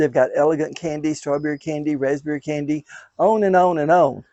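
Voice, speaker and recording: Talking at a fairly quick pace with a Southern US accent, a man uses a fairly high pitch and fairly even intonation. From US South, west Tennessee. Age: 70s. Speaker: daylily breeder. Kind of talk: casual chat.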